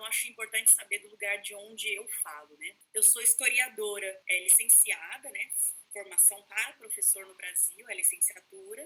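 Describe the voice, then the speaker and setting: A woman speaks with a Brazilian accent. Her loudness swings widely. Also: moderate pace. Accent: regional Brazilian. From Brazil, São Paulo state (Taubaté). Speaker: history professor. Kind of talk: lecture. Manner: informal, many fillers.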